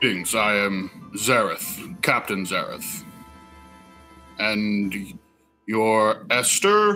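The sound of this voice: Over faint music in the background, a man in a put-on character voice speaks at a very slow pace and medium pitch.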